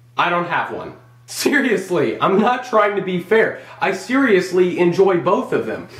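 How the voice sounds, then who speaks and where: A man talks in a high voice at a fairly slow pace, with ordinary pitch variation. The room echoes audibly, and background noise is noticeable. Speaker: gaming vlogger. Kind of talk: casual solo vlog monologue. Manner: animated.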